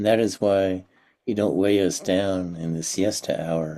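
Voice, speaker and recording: Speaking at a very slow pace, a man has a very deep, low pitch, a dark, mellow tone and fairly even intonation. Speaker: poetry reader. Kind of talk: poetry reading.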